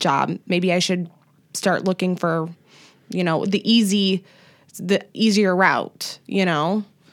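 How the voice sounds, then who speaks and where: A woman with an unremarkable speaking voice and fairly even intonation. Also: very clean recording, silent background. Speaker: podcast host. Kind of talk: casual chat.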